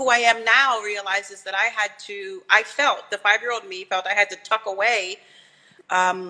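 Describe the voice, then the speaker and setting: Music plays behind a woman of medium pitch. Her intonation is flat and monotone. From Arlington, Virginia, US (Caribbean family). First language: Spanish. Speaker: visual artist. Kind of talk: interview conversation. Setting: live video stream.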